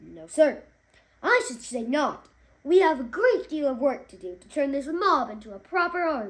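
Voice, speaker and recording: A woman puts on a high-pitched character voice. She speaks at a moderate pace. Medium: read story.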